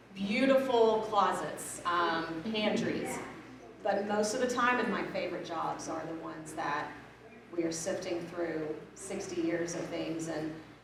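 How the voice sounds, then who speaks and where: Woman with a fairly low pitch and ordinary pitch variation at a fairly slow pace, with noticeable background noise and audible room echo. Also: long, frequent pauses. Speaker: professional organizer. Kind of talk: panel discussion. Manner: loud.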